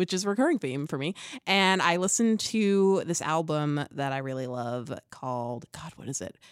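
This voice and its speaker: A woman speaks in an unremarkable speaking voice with lively intonation. The recording is very clean, the background silent. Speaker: podcast panelist. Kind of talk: casual chat.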